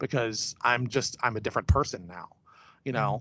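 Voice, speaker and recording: A man is speaking. He has an American accent. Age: 40s. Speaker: film director. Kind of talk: casual interview. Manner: hesitant, many fillers.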